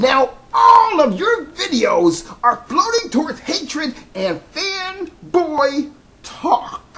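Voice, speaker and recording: A put-on character voice, pitched high and delivered very slowly. The tone is dramatic and theatrical, with very wide pitch swings. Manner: dramatic, theatrical.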